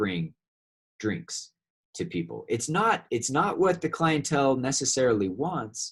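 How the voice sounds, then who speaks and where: Speaking at a fairly slow pace, a man with an American accent sounds somewhat breathy and makes very wide pitch swings. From California. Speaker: university lecturer. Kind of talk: lecture. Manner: halting, repeats words.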